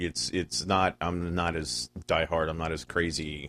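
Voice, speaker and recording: The voice has vocal fry, on a very clean recording with a silent background. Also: man. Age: 40s. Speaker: podcast guest. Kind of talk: casual chat.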